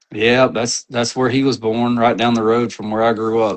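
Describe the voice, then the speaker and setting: Fairly quick, monotone, flat speech from a man with an American accent. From North Mississippi, Tupelo. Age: 30s. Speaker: outdoors media personality. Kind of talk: casual chat.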